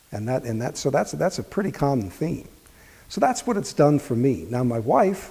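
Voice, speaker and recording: Speaking at a medium pitch with a dark, mellow tone and vocal fry, a man lets his pitch swing very widely. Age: 60s. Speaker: health practitioner giving a testimonial. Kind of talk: testimony. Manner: halting.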